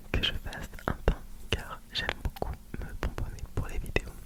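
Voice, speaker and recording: A man whispering amid noticeable background noise. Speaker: ASMR content creator. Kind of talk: whispered ASMR Q&A talking to camera. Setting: home studio with a close microphone. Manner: whispered, soft-spoken.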